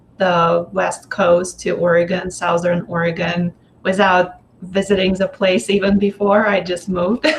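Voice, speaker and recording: In a Russian accent, a woman speaks at medium pitch with monotone, flat intonation and vocal fry. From Russia, Moscow. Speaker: energy healer. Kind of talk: interview. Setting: live video stream.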